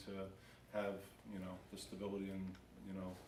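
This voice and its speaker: A man with a New York accent is heard with audible room echo and noticeable background noise. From New York, Long Island. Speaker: town human resources director. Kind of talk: self-introduction at council meeting. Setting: town council meeting. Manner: fast.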